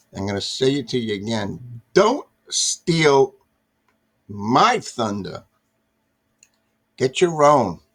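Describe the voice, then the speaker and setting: Speaking at a very slow pace with long, frequent pauses, a man keeps a medium pitch that makes very wide swings. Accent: American. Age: 60s. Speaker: political commentary vlogger. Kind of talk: casual monologue. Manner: halting, repetitive.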